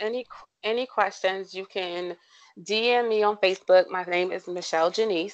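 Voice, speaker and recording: Against a quiet background, a woman with an American accent speaks at medium pitch in an ordinary speaking voice, with fairly even intonation. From US Mid-Atlantic, southern Maryland. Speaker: occupational therapist. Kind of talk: casual chat.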